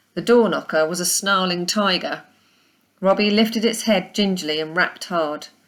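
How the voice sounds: A woman with a fairly low pitch and ordinary pitch variation speaks at a moderate pace.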